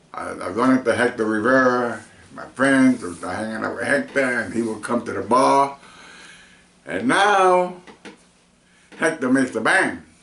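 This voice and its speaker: Over noticeable background noise, a man at medium pitch speaks at a moderate pace with big swings in loudness and long, frequent pauses. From New York, Spanish Harlem. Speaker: veteran musician. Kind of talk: interview. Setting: in person.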